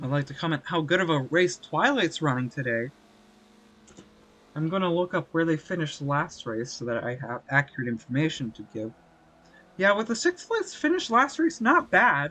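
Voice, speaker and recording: A man with a normal speaking voice talks at a moderate pace, with a fairly high pitch and lively intonation. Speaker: sim racing league commentator. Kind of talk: live race commentary. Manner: casual, relaxed.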